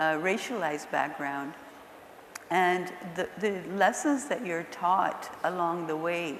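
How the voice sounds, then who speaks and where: A woman talks at a very slow pace, with noticeable background noise and audible room echo. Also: fairly low pitch for a woman, ordinary pitch variation. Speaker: nonprofit executive director. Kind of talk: panel discussion. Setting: stage with audience. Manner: soft-spoken; getting louder.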